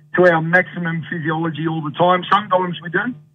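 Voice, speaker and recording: Music plays in the background. A man with a fairly high pitch talks at a moderate pace. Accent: Australian. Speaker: sports coach consultant and speaker. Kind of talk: radio interview chat. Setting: phone call from Ireland.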